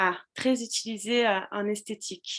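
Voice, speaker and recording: The speaker is a woman with ordinary pitch variation. The background is quiet. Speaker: social media business coach. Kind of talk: live stream tutorial. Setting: live video stream with chat. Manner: hesitant with many fillers.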